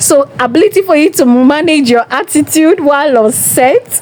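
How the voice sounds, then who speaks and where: Noticeable background noise sits behind this recording. A woman speaks with ordinary pitch variation. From Nigeria. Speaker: entertainment vlogger. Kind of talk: casual monologue commentary.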